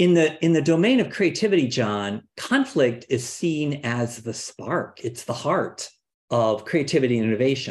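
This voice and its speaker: This man speaks in a normal speaking voice, fairly high-pitched, with an American accent, lively intonation and a moderate pace against a quiet background. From Cleveland, Ohio. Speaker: executive coach. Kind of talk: interview.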